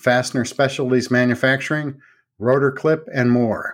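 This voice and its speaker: A man speaks at a medium pitch in a flat monotone. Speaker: trade magazine newsman. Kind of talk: news reading.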